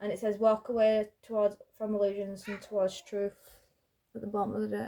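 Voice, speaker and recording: A woman is speaking. Her voice is soft-spoken. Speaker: tarot card reader. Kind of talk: card reading.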